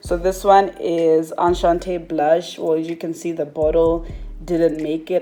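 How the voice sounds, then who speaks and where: The voice moves at a fairly slow pace with monotone, flat intonation. Music is playing in the background. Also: woman. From Malawi. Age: 20s. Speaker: beauty YouTuber. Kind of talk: casual talk to camera.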